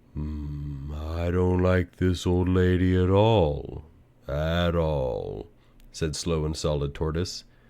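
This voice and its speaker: Using a put-on character voice, a man talks at a very slow pace in a very deep, low pitch with a calm tone. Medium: read story. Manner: slow, calm, sly.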